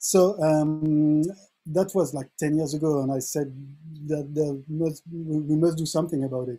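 Over faint music in the background, a man speaks at a fairly slow pace with a fairly high pitch. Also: fairly even intonation. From France. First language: French. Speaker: music producer and device developer; guest. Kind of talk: online tutorial; interview answer and tutorial. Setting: video call. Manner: halting, repeats words. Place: home room.

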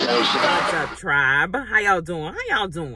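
Music is heard in the background. A woman talks over it. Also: dry sound with no echo. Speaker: travel vlogger. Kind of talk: casual vlog chat. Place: car. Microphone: phone near.

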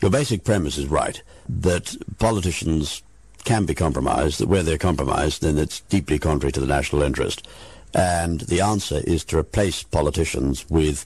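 Speaking at a moderate pace with a British accent, this voice carries vocal fry over a quiet background. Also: man, very even loudness. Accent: English (British RP-like). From England. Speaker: barrister and intelligence consultant. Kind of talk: interview.

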